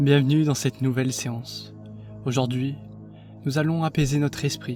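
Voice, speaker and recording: A soft-spoken man's gentle, medium-pitched voice at a fairly slow pace, monotone and flat, with music in the background. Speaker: meditation guide. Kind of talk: guided meditation. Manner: soft, gentle.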